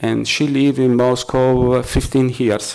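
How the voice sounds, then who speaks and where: A man speaks at medium pitch with an Italian accent. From Italy. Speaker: freelance journalist and activist. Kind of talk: press conference talk. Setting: press conference. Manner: halting, many fillers.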